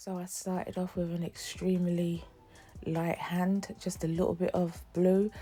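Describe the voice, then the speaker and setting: Music plays behind a woman speaking at a fairly slow pace. Her pitch is fairly low and her intonation is monotone and flat. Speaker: beauty vlogger. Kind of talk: makeup tutorial. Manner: casual, conversational.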